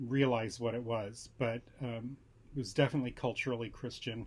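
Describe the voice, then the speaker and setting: A somewhat breathy man with an American accent, medium pitch, fairly even intonation and a moderate pace, on a very clean recording with a silent background. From Southern California. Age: 60s. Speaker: tarot vlogger. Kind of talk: casual vlog talk. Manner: hesitant with fillers.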